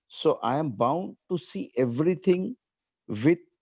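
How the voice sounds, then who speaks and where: A man with a non-native accent speaks at a very slow pace. His intonation is lively, and the sound is dry and close with no echo. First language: not English. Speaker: audience member asking a question. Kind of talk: question from audience. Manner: halting.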